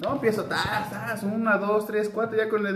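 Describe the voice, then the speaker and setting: A high-pitched man talks at a very fast pace amid noticeable background noise and audible room echo. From Mexico, Querétaro. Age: 30s. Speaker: podcast co-host. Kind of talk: casual chat.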